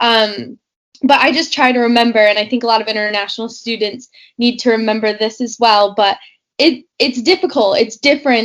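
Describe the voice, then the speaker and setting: Speaking with an American accent, a woman has a plain, everyday voice at a fairly high pitch. She moves at a fairly quick pace with ordinary pitch variation. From New York, US. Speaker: postgraduate student. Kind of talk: casual chat.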